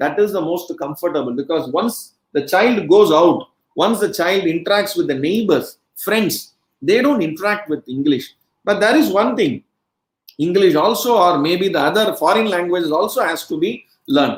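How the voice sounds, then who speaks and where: This speaker talks at a moderate pace with a Marathi accent. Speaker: education speaker. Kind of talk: lecture. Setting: webcast.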